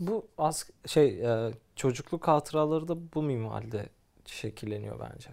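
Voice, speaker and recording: An unremarkable speaking voice from a man, fairly high-pitched, with lively intonation at a fairly slow pace, in a very clean recording with a silent background. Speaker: podcast co-host. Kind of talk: casual chat. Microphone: professional recording gear.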